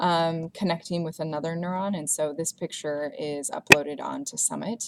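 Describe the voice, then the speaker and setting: This woman has an ordinary speaking voice, pitched fairly low. She talks at a moderate pace. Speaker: instructor. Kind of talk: lecture / educational narration.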